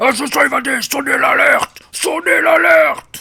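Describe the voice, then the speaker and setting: Putting on a character voice, a man growls at an extremely high pitch with very wide pitch swings, keeping a moderate pace. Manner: alarmed, shouting the alert.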